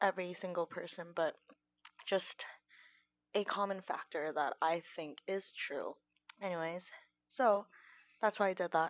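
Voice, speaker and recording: With a Korean accent, a woman at a medium pitch talks at a fairly slow pace, leaving long, frequent pauses. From South Korea. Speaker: vlogger. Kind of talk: casual monologue. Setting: at home. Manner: halting.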